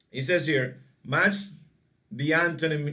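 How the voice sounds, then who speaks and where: Audible room echo surrounds a man whose fairly high voice has a bright, sharp tone. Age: 40s. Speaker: English teacher. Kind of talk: online class lesson.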